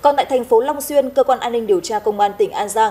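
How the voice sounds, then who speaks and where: Her pitch high and swinging very widely, a woman speaks in a dark, mellow tone. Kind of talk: news reading. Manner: formal.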